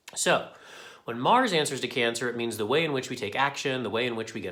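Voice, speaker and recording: The speech moves at a very fast pace. Room echo is audible. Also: man. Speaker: tarot and astrology forecaster. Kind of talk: weekly astrology forecast monologue. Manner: casual, conversational.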